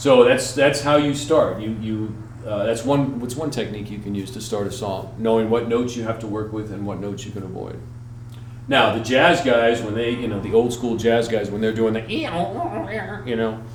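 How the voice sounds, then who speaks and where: Medium in pitch with fairly even intonation, a man talks at a moderate pace. Audible room echo and noticeable background noise fill the recording. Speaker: musician and music teacher. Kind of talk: tutorial. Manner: casual, hesitant with fillers.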